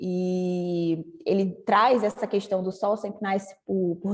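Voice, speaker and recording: This woman's voice sits at a medium pitch. She keeps a monotone, flat delivery. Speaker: creative writing workshop teacher. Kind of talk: online workshop lecture.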